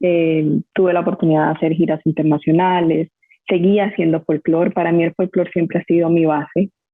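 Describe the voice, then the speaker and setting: Talking at a fairly quick pace, a woman keeps a fairly low pitch and very even loudness. Her intonation is monotone and flat. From Colombia, Barranquilla (Caribbean coast). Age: 30s. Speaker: dance teacher and dancer. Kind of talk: podcast interview.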